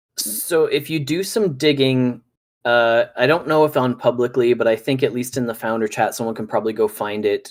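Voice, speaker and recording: In a plain, everyday voice with a Canadian accent, a man of medium pitch talks at a fairly quick pace with ordinary pitch variation. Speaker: gaming podcast guest. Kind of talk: casual chat.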